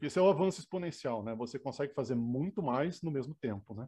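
Very fast, somewhat breathy male speech at medium pitch, with lively intonation and a Rio Grande do Sul accent. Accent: gaúcho (Rio Grande do Sul) intonation. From southern Brazil (Rio Grande do Sul). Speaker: engineer and professor. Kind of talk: interview.

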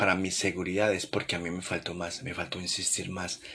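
A man speaks with a very deep, low pitch and a bright, sharp tone. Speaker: podcast host. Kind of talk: late-night reflective monologue. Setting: home living room at night. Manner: soft, intimate; calm, unhurried.

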